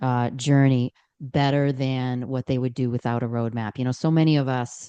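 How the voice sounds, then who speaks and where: A woman speaks with an American accent at a very deep, low pitch. Her tone is dark and mellow, her intonation flat and monotone, over a quiet background. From Boston, Massachusetts. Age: 60s. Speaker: aging advocate and business owner. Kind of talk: podcast interview. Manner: halting with fillers.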